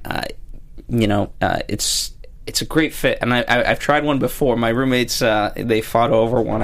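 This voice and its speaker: Speech comes at a moderate pace, with noticeable background noise throughout. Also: man. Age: 20s. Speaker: TV aftershow podcast co-host. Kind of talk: casual chat.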